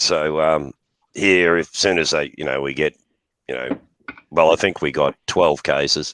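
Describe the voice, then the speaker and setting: In a dry, close sound with no echo, a man with an Australian accent speaks in a very deep, low pitch with vocal fry, fairly even intonation, and long, frequent pauses. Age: 60s. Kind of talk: casual chat. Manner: hesitant, filler-heavy.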